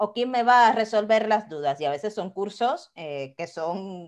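Against a quiet background, a woman at medium pitch talks at a moderate pace, her pitch swinging very widely. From Cuba, Havana. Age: 30s. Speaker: quality consultant and online business owner. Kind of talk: interview conversation.

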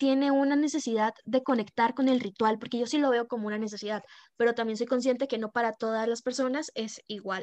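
A woman speaks at a moderate pace in a dry, close sound with no echo, against a quiet background. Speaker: podcast co-host, tarot reader. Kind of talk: casual chat.

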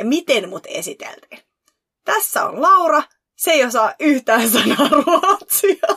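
In a dry, close recording with no echo, a woman projects a raised voice with a bright, sharp tone and very wide pitch swings. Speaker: podcast co-host. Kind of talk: casual chat.

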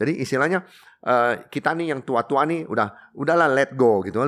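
Very wide pitch swings mark this fairly quick speech, heard on a very clean recording with a silent background. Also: man. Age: 60s. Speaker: coffee shop owner. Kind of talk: interview. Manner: halting.

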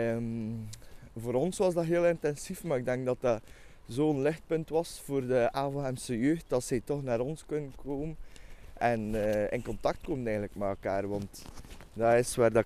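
Speaking at a fairly slow pace, a man uses a medium pitch and a dark, mellow tone with ordinary pitch variation. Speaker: youth volunteer. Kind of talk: casual interview. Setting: outdoors on a walk. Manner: halting.

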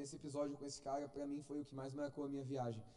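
Audible room echo surrounds a man's fairly high yet dark, mellow voice. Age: 20s. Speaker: lay preacher. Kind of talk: sermon.

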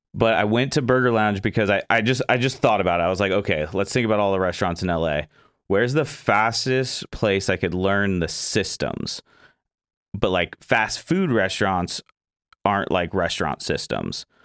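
A man with an American accent talks at a moderate pace in a normal speaking voice, fairly low in pitch with ordinary pitch variation and very even loudness, in a dry, close recording with no echo that is very clean against a silent background. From Florida. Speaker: podcast host. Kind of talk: casual interview chat. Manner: laid-back, chatty, laughs often.

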